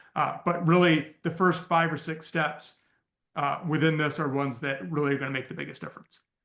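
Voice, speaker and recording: A man with a normal speaking voice talks at a fairly quick pace, his fairly high pitch carrying fairly even intonation. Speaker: business coach teaching AI marketing. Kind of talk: live training call.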